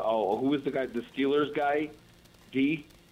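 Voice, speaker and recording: In an American accent, a man speaks at medium pitch. His pace is fairly slow. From Colorado. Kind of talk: casual chat.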